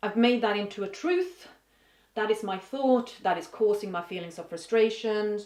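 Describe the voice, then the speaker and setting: A moderate pace in a Swedish accent, with big swings in loudness and ordinary pitch variation. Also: woman, fairly high pitch for a woman. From Sweden. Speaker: vlogger. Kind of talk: casual vlog monologue. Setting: home office. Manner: halting, thinking aloud.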